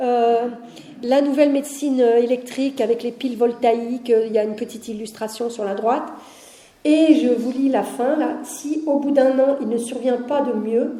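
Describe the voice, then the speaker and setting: A woman's high-pitched voice with fairly even intonation, plus noticeable background noise and audible room echo. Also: moderate pace. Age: 60s. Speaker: heritage officer at a deaf school, lecturer. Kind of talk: public lecture. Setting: conference hall with audience. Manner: conversational, with frequent hesitations.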